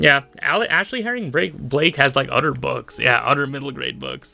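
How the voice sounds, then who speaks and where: This man's voice sits fairly high, with a bright, sharp tone. Vocal fry runs through his speech. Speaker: YouTuber. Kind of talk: casual solo commentary. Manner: halting, many fillers.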